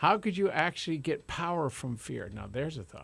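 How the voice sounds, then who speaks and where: Somewhat breathy, this voice carries lively intonation. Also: man. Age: 60s. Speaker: radio host and life coach. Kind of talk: radio talk show. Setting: radio studio. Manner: animated; calm.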